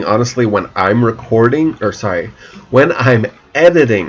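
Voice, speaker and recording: Noticeable background noise runs under a moderate pace and ordinary pitch variation. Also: man. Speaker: gaming YouTuber. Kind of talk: let's play commentary. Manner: many pauses and silences; halting.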